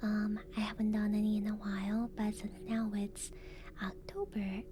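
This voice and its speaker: A woman speaks softly at a fairly slow pace, somewhat breathy. Her tone is dark and mellow. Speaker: VTuber ASMR streamer. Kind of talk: casual live-stream chat. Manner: soft-spoken.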